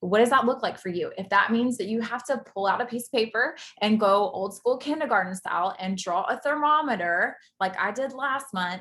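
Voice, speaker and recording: This voice has a bright, sharp tone and a Southern US accent. It moves at a fairly quick pace with ordinary pitch variation. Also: woman, fairly high pitch for a woman. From US South. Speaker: network marketing distributor, former military ultrasound tech. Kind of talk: motivational talk on video call. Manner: fast.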